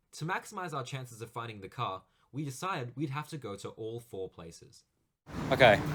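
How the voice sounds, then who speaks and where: A man with an Australian accent sounds enthusiastic and somewhat breathy. He talks at a fairly quick pace. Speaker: car spotting vlogger. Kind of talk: vlog narration and walkaround. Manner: hushed.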